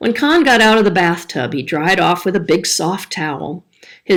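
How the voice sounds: A natural reading voice is heard here.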